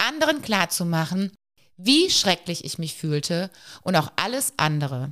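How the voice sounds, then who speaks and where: A woman speaks at a fairly slow pace with a medium pitch and a plain, everyday voice. The recording is very clean, with a silent background. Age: 40s. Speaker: psychological counselor and podcast host. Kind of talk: personal storytelling monologue.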